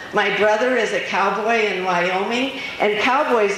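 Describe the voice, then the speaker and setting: Against noticeable background noise and audible room echo, the speaker goes at a fairly slow pace with ordinary pitch variation. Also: woman. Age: 70s. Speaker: motivational speaker. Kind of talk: inspirational talk. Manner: animated.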